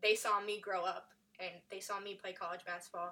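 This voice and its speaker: Delivered at a fairly quick pace, the voice has a bright, sharp tone and an American accent. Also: woman. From upstate New York. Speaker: college basketball graduate assistant coach. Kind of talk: casual interview chat. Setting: studio.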